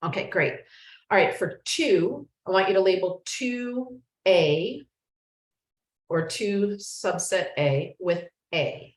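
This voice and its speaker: A woman's voice, somewhat breathy, rises and falls with lively intonation. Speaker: yoga teacher and life coach. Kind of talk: online class instruction. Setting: video call with screen share.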